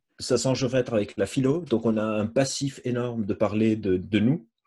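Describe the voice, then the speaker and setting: Somewhat breathy and dark, mellow in tone, a man speaks at a moderate pace and medium pitch with fairly even intonation. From Lebanon. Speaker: psychologist and neuroscientist. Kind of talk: lecture. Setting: video call.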